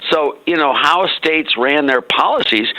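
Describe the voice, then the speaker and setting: Noticeable background noise surrounds a man's speech. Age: 80s+. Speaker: economist. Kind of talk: interview.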